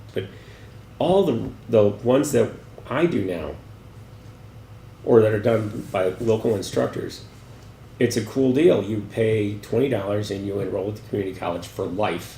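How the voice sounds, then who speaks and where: Moderate pace from a man at a fairly low pitch, with ordinary pitch variation, long, frequent pauses and audible room echo. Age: 60s. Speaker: gallery director. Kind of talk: interview. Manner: halting.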